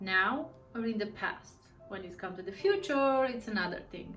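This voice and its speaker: Woman speaking at a fairly slow pace with ordinary pitch variation, audible room echo and music in the background. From Romania. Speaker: tarot reader. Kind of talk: casual monologue to camera. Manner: halting, with fillers.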